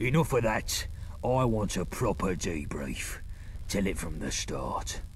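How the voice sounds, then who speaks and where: A man puts on a character voice and moves at a fairly slow pace, with clear background noise behind him. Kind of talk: coarse London slang. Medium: machinima. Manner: blunt, sardonic.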